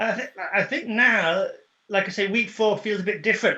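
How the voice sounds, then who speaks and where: A man's raised, projected voice with a British accent, bright and sharp in tone, at a fairly quick pace. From UK. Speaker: HR, training and coaching professional. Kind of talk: casual video call conversation.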